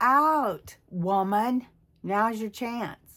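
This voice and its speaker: A woman at a fairly high pitch in a very clean recording, silent background. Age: 60s. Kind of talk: casual talk to camera.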